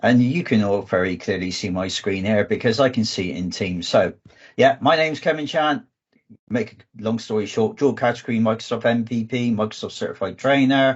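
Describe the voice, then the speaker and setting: At a moderate pace, a man with a southwest English accent speaks at medium pitch with ordinary pitch variation. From southwest England. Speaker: data engineering manager and trainer. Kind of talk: online conference presentation. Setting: video call.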